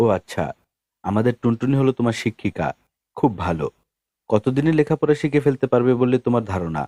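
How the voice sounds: A natural reading voice, with ordinary pitch variation, is heard against a quiet background.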